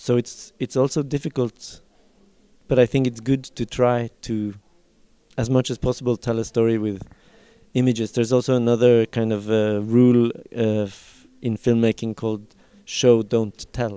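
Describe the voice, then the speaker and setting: A man with a Norwegian accent and a dark, mellow tone speaks in a monotone, flat way, with a dry, close sound and no echo. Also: medium pitch for a man, moderate pace. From Norway. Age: 40s. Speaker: film director. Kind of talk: interview. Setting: film festival. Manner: halting.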